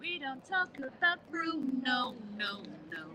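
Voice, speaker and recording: A woman speaks with a British accent and a high pitch that makes very wide swings. Noticeable background noise sits behind her. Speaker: crochet content creator. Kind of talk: casual chat. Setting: live stream in a public place. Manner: whispering.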